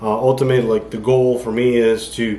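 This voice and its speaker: Mumbling at a moderate pace, a man speaks in a flat monotone at medium pitch. Audible room echo surrounds his voice. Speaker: amateur bodybuilder vlogger. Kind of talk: casual vlog monologue. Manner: mumbling, rambling with fillers.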